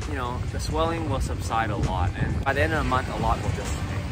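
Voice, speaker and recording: At a moderate pace, a man speaks with clear music in the background. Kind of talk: casual vlog chat. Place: beach. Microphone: phone near.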